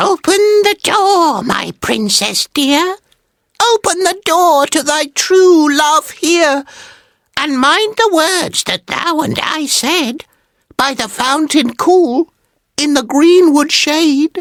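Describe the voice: A put-on character voice, high-pitched, squeaky and croaky, at a fairly slow pace with long, frequent pauses.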